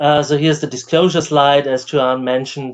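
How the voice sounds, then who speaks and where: A man speaks with an Austrian accent and fairly even intonation against a quiet background. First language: German. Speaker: professor and AI researcher. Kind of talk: lecture. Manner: hesitant with fillers.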